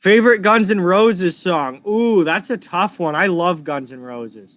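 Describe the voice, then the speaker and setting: A man with an American accent, high-pitched, with lively intonation, big swings in loudness and a moderate pace, on a very clean recording with a silent background. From Massachusetts, outside Boston. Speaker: hockey streamer. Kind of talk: live reaction and chat. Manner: casual, conversational.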